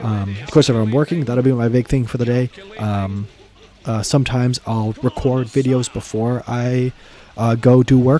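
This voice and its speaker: A man talks at a moderate pace with fairly even intonation against noticeable background noise. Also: medium pitch for a man. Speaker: gaming YouTuber. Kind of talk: casual Q&A chat. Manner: casual, many fillers; spontaneous, unscripted.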